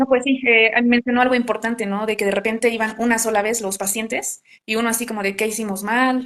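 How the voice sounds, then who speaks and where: At a very fast pace, a woman with a fairly high voice talks in a monotone, flat intonation. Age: 20s. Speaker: psychologist. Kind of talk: casual interview conversation.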